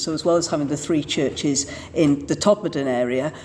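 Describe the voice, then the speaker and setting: A woman's voice over noticeable background noise. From Manchester, England. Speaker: Church of England vicar. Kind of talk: interview answer.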